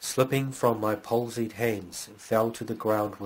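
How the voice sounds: Fairly even intonation in a natural reading voice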